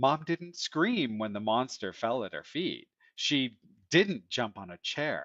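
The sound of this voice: An unforced reading voice with lively intonation, set against a quiet background.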